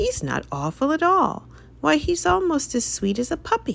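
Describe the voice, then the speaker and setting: Using a put-on character voice, a man talks at a moderate pace in an extremely high pitch. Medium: read story.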